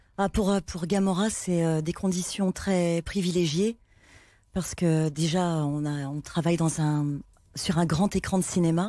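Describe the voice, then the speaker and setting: Recorded very cleanly over a silent background, a woman speaks fairly slowly in a fairly low pitch, with a dark, mellow tone and fairly even intonation. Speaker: voice actor. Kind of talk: TV talk show interview. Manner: hesitant, many fillers.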